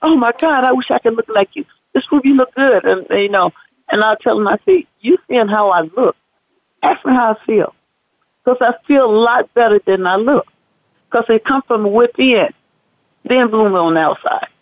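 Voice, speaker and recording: Her intonation is lively as the woman talks at a moderate pace in a fairly high voice. She leaves long, frequent pauses. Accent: American. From US South, Mississippi, later Chicago. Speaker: fitness competitor. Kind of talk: interview. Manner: halting, many fillers and restarts.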